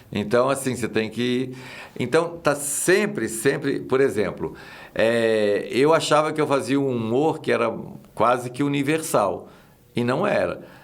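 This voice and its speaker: A man with a Minas Gerais accent, medium pitch and ordinary pitch variation at a fairly slow pace, with audible room echo. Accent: Minas Gerais (mineiro) accent, kept. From Minas Gerais, Brazil. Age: 60s. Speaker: actor and comedian. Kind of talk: casual chat.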